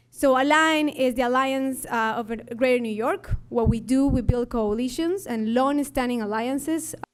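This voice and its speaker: Here a woman speaks in an Ecuadorian accent. Her pitch is high, with ordinary pitch variation. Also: moderate pace. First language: Spanish. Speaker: labor organizer, nonprofit leader. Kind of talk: conference talk.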